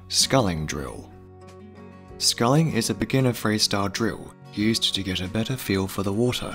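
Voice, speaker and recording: Music sounds behind the voice. The delivery holds a moderate pace. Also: man, fairly low pitch for a man, ordinary pitch variation. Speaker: voice-over artist. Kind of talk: educational narration.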